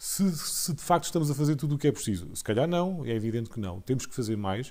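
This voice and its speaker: A man speaks in a fairly high pitch with a dark, mellow tone. The recording is very clean, with a silent background. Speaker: HR consultant, panelist. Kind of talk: panel discussion. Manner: halting, repeated words.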